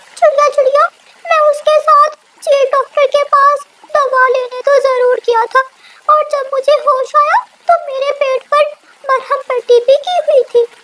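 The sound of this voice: A woman's cartoonish character voice at an extremely high pitch, delivered at a moderate pace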